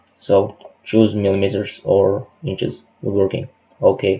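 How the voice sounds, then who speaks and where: At a very slow pace, the voice sounds somewhat breathy, with a dark, mellow tone. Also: man. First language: not English. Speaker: hobby woodworker, software tutorial maker. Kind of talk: tutorial.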